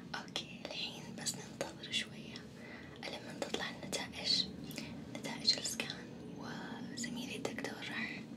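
A soft-spoken woman with a gentle tone, fairly slow, against loud background noise. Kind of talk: role-play bedside talk to viewer. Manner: soft, gentle ASMR voice.

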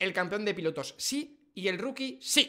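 Against a quiet background, a man with a high pitch speaks at a moderate pace in a raised, projected voice, his tone animated, bright and sharp, his intonation lively. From Spain. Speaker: F1 streamer and YouTuber; F1 streamer, YouTuber. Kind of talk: casual reaction livestream. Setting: live stream. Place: home room. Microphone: studio mic.

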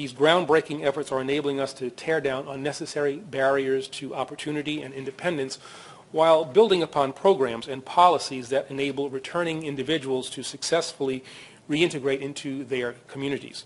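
The intonation stays fairly even. The pace is fairly quick. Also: man. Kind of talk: formal speech. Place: hall.

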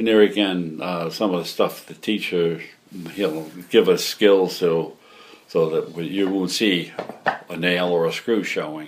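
With a New York accent, a man speaks at a fairly slow pace in a very deep, low pitch and fairly even intonation over light background noise. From New York City. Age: 80s+. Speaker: retired hobby woodworker. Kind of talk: interview answer. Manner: casual, hesitant. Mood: relaxed, reminiscing. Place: workshop.

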